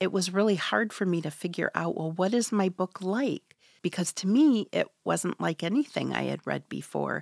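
Recorded very cleanly against a silent background, with a dry, close sound and no echo, a woman speaks at a moderate pace with hardly any pauses. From Michigan's Upper Peninsula, Ojibwe community. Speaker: author. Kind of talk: interview. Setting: studio.

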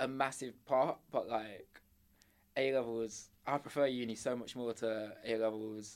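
Speaking with an English accent at a fairly slow pace, a man uses a medium pitch and a monotone, flat intonation. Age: 20s. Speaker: university student. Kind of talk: casual chat.

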